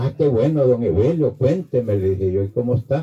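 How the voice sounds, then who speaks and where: The speaker is a man with a somewhat breathy sound. His intonation rises and falls in a lively way. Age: 80s+. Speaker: priest. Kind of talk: homily.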